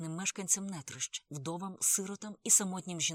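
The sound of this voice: Someone reads without strain, keeping the intonation fairly even.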